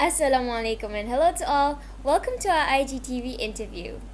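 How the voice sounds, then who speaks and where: Clear background noise accompanies a woman talking rather quickly. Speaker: student interviewer. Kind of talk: scripted introduction.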